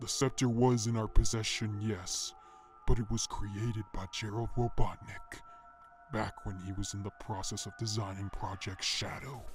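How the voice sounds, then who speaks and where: Over clear background music, a man in a put-on character voice speaks at a medium pitch and a moderate pace in a calm, menacing tone. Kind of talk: dark narration. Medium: machinima. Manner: calm, condescending, menacing.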